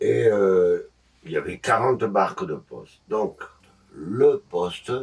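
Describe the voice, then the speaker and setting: A man speaks at a very slow pace. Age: 70s. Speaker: boat owner, retired educator. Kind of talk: interview. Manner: halting.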